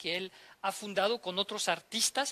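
In a raised, projected voice, a man speaks at a moderate pace, high in pitch and bright and sharp in tone, with ordinary pitch variation. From France. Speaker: ambassador. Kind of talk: interview. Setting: live on-location event. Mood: calm, measured. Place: hall. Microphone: handheld.

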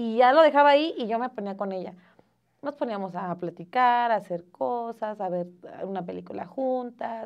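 A woman talks against a quiet background. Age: 20s. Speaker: mother and student; interview guest. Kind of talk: casual chat. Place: studio.

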